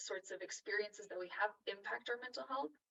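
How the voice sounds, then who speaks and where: Soft-spoken and medium in pitch, a woman with a Californian accent talks with ordinary pitch variation. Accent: Californian American. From Los Angeles. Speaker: psychotherapist and author. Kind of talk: interview answer. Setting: video call. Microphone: echo, poor sound.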